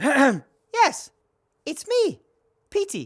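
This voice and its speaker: This put-on character voice sits at a high pitch and makes very wide pitch swings. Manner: funny put-on voice.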